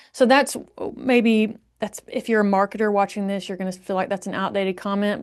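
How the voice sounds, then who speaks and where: In a strong Southern US accent, a woman talks at a very fast pace with fairly even intonation and a medium pitch. The background is quiet. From Alabama, US South. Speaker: marketing agency founder. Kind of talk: podcast interview. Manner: conversational.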